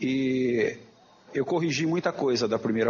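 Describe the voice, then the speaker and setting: Over noticeable background noise, a man speaks in a medium pitch with ordinary pitch variation. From interior of São Paulo state (Jaboticabal). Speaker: professor and journal editor. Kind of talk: lecture. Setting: auditorium.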